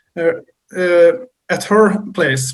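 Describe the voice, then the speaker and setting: A high-pitched man with a strong Swedish accent, very slow in pace. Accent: thick Swedish. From Sweden. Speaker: metal musician. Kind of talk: casual chat. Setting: video call. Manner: halting.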